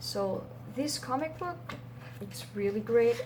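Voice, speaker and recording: Her pace is moderate. There is noticeable background noise behind the woman. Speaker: comic book shop clerk (roleplay). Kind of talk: ASMR roleplay, soft-spoken personal attention. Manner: soft-spoken, gentle.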